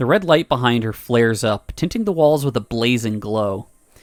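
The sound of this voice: Lively intonation in an unforced reading voice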